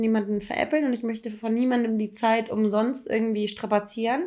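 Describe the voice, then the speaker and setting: Very fast speech in a dark, mellow tone. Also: woman. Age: 30s. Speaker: podcast co-host. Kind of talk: casual chat.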